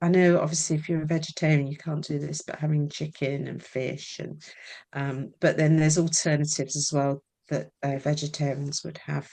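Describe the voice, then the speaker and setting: Her very deep, low pitch and dark, mellow tone come through in a Scottish accent, with monotone, flat intonation at a moderate pace over a quiet background. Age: 60s. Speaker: menopause coach and artist. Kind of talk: interview. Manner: casual, hesitant with fillers.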